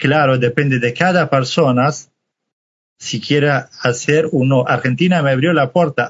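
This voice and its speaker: This man speaks with a Kurdish accent. His pace is fairly slow. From Iraqi Kurdistan. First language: Kurdish (speaking Spanish). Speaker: refugee. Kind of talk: testimony.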